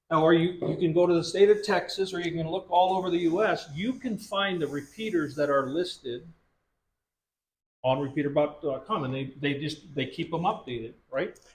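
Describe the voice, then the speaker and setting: Loud and high-pitched, a man speaks at a moderate pace with ordinary pitch variation. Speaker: radio instructor at prepper meeting. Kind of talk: workshop tutorial.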